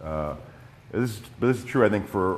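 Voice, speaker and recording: In an American accent, a man talks at a very fast pace with audible room echo. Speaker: nonprofit president and public policy advocate. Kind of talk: conference presentation. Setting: conference in high school room with microphone. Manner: many fillers and repetitions.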